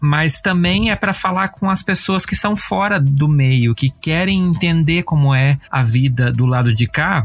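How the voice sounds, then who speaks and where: The man sounds somewhat breathy, speaking at a moderate pace with lively intonation. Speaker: podcast host. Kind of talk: casual chat; scripted narration. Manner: talkative.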